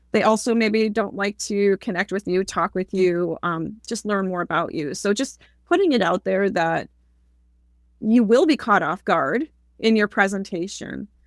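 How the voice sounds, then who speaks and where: A woman at medium pitch with ordinary pitch variation, on a very clean recording with a silent background, dry and close with no echo. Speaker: public speaking coach. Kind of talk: interview conversation. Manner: fast.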